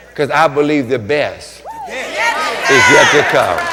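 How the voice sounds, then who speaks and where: Audible room echo and noticeable background noise around a fairly high-pitched male voice. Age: 60s. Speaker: pastor. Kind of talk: sermon. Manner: animated.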